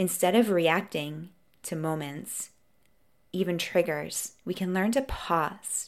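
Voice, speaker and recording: At a fairly slow pace, a woman talks in a normal speaking voice on a very clean recording with a silent background. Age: 40s. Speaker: podcast host, coach. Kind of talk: solo podcast monologue.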